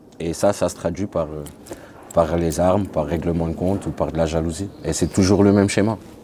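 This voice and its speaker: A man's very deep, low voice at a fairly quick pace, with fairly even intonation and noticeable background noise. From France, Grenoble. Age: 30s. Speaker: ex-convict sharing his life story. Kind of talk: testimony interview.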